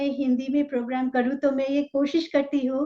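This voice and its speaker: A woman speaks at a high pitch with a Bengali accent. Her pace is moderate and her intonation is monotone and flat. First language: Bengali (speaking Hindi). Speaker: talk show host. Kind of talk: interview.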